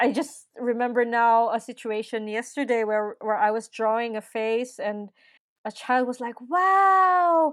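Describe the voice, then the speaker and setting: Speaking with a Filipino accent, a woman has a fairly high pitch. Her intonation is lively and her pace fairly slow. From Philippines. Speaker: nurse and musician. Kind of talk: casual interview.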